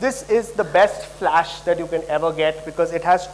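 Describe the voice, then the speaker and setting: A man speaks with a high voice. Background noise is clearly noticeable. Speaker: product presenter. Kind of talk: product launch presentation. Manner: fast.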